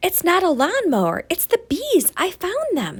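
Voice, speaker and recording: This is a put-on character voice. The pitch is extremely high. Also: moderate pace. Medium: read story.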